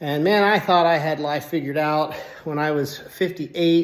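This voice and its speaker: A man's high-pitched voice carries fairly even intonation. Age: 60s. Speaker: fitness channel host, engineer and cancer survivor. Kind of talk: personal story monologue to camera. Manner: casual, with fillers.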